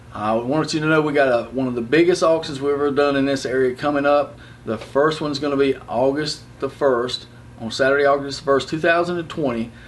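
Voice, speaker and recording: Sounding enthusiastic, a man with a fairly high voice and an American accent talks at a fairly quick pace against noticeable background noise. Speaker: auctioneer. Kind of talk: auction promo talk to camera. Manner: casual, enthusiastic.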